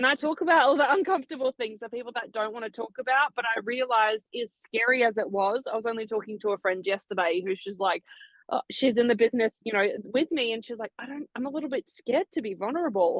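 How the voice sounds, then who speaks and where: Barely pausing, a woman rushes along at a very fast pace, her fairly high voice full of lively intonation. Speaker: online entrepreneur. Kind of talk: interview. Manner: loud.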